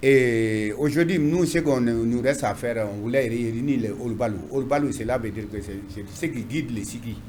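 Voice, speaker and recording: The speech runs at a moderate pace with hardly any pauses and ordinary pitch variation. Audible room echo is present. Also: man, medium pitch for a man. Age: 60s. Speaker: mayor. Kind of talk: interview. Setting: TV studio. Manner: halting, repetitive.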